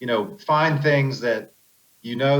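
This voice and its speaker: A man's unremarkable speaking voice with an American accent, medium pitch, ordinary pitch variation and a fairly quick pace. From Pennsylvania. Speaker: off-road racer. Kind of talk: podcast interview.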